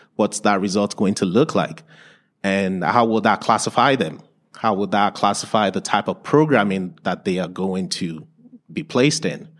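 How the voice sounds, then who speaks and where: Recorded very cleanly against a silent background, a man talks at a fairly low pitch. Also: ordinary pitch variation, moderate pace. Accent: Nigerian. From Nigeria. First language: Yoruba or other Nigerian language. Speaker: learning support teacher. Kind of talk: conference presentation. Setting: stage with audience.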